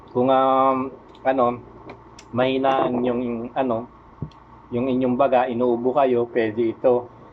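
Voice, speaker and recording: Monotone, flat intonation from a man at a fairly slow pace, with long, frequent pauses. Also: medium pitch for a man. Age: 50s. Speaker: vlogger. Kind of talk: tutorial. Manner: halting, many fillers.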